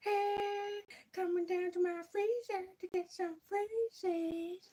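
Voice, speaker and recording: A put-on character voice delivers the words at a very slow pace. The pitch is extremely high. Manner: creepy, beckoning.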